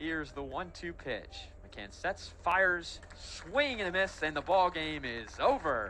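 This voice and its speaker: A man talks fairly slowly, his loudness swinging widely, with noticeable background noise behind him. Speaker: student broadcaster. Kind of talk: baseball play-by-play commentary.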